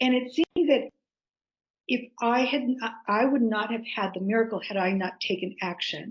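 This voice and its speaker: A woman's somewhat breathy voice, fairly high in pitch, with ordinary pitch variation, a moderate pace, and long, frequent pauses. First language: Greek. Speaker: author. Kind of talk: interview. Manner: halting.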